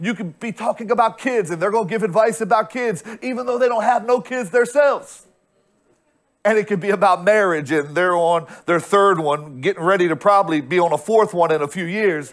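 A man speaks at a fairly quick pace, and the background is quiet. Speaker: pastor. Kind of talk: sermon. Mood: humorous, teasing. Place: stage. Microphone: lapel.

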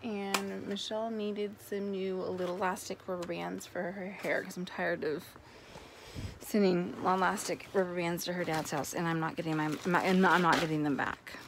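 A woman at a moderate pace with ordinary pitch variation, dry sound with no echo and noticeable background noise. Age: 30s. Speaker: vlogger. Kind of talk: casual haul vlog. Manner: rambling with many fillers. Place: home room. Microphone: phone near.

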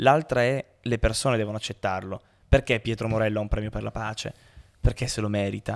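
Over a quiet background, a man with a fairly low pitch talks at a very fast pace with fairly even intonation. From Turin, northern Italy; northern Italy. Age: 20s. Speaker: pianist and humanitarian worker; podcast guest. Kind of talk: casual interview. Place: studio. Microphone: studio mic.

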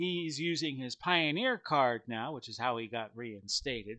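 A man's bright, sharp voice at a fairly slow pace over a quiet background. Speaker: tabletop wrestling game host. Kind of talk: commentary. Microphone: headset.

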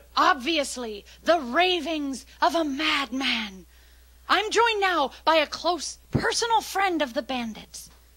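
In a cartoonish character voice, a female-sounding speaker talks at a fairly slow pace with a high pitch and a dramatic tone. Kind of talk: live TV news report. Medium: puppet show. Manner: dramatic, overeager.

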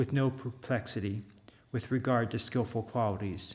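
This man's voice is medium in pitch and somewhat breathy, with fairly even intonation at a moderate pace. The recording is very clean, with a silent background. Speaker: Buddhist monk. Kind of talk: reading aloud. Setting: monastery.

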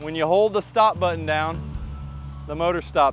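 Clear music plays behind a man whose voice is recorded dry, with no echo. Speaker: mower dealer demonstrator. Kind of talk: product tutorial. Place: garden. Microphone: lapel.

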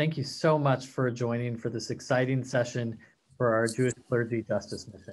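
A man's voice of medium pitch, with fairly even intonation at a moderate pace. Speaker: nonprofit policy executive. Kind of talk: formal introduction. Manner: formal. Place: home room. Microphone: webcam.

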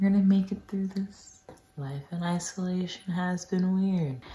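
A woman at a fairly slow pace over light background noise. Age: young. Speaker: peer health educator. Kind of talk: casual talk to camera. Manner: whispered. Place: home room. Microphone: phone near.

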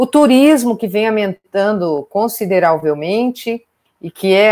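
Her speed is fairly slow. The woman's pitch shifts in an ordinary way. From Brazil, Pantanal region; Brazil. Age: 40s. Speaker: veterinarian and wildlife conservation researcher; biologist lecturer. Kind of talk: online lecture. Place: home room. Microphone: webcam.

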